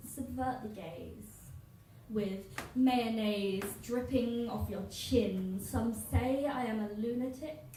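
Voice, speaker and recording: Noticeable background noise runs under a woman speaking very slowly at fairly high pitch. Her loudness swings widely while her pitch varies in an ordinary way. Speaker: poet. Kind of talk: live spoken word poetry performance. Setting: live venue, audience.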